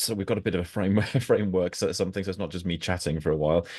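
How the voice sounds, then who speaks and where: A man with a very deep, low voice speaks with ordinary pitch variation over a quiet background. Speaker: coach and education leader. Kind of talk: webinar presentation. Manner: fast when excited; hesitant, many fillers.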